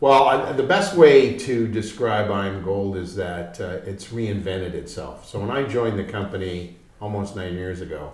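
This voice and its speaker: Over noticeable background noise, a man talks at a moderate pace, his loudness swinging widely, with audible echo in the room. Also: fairly low pitch for a man, ordinary pitch variation. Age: 60s. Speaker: mining company executive. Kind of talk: business interview. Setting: studio in London.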